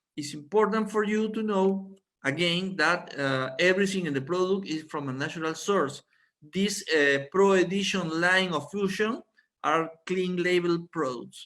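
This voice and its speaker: Fairly slow in pace, a man talks with a high pitch. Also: ordinary pitch variation. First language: Spanish. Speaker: doctor giving product training. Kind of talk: online presentation. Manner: halting.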